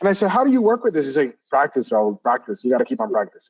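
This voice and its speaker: A man with a Puerto Rican accent is heard in a dry, close sound with no echo. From Puerto Rico. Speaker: interview host. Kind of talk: interview. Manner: fast.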